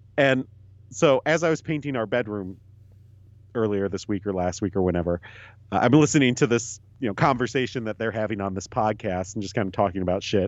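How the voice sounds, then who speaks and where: A man's fairly low-pitched voice, an ordinary speaking voice, with ordinary pitch variation and a fairly quick pace. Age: 30s. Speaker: podcast co-host. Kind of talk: casual chat.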